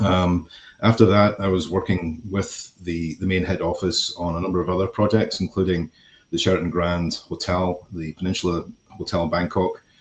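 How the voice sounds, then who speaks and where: With music in the background, a man with a Scottish accent speaks at a moderate pace in a very deep, low voice and monotone, flat intonation. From Scotland. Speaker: construction company executive. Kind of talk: podcast interview. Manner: hesitant, many fillers.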